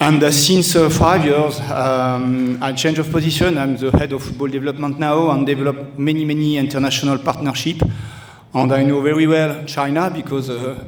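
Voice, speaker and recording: In a French accent, a man speaks at a fairly high pitch with monotone, flat intonation and a moderate pace. Audible room echo and noticeable background noise come through. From France, Toulouse. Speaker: football club director. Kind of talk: speech at event. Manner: halting.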